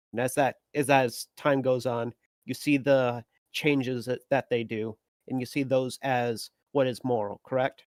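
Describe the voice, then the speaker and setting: Recorded dry and close with no echo, a man with a medium-pitched voice talks fairly slowly in a flat monotone. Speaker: caller. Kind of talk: debate Q&A question. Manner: halting, many fillers.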